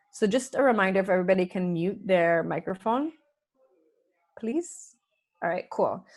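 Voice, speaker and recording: Medium-pitched woman at a moderate pace, with lively intonation, long, frequent pauses and a quiet background. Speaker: UX/UI design instructor. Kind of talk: online workshop lecture. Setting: video call. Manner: loud.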